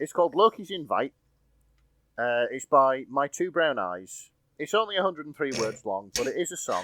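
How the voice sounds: A man with a Yorkshire accent, a fairly high pitch, a bright, sharp tone, very wide pitch swings and a moderate pace, in a very clean recording with a silent background and a dry, close sound with no echo.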